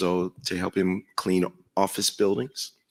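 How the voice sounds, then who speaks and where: With an American accent, a man speaks in a very deep, low, monotone, flat voice on a very clean recording with a silent background. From rural South Carolina, US South. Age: 60s. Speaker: college president. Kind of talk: panel interview.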